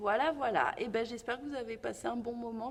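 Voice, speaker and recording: A woman's voice with ordinary pitch variation. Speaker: dance teacher. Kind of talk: tutorial. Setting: dance studio. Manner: halting.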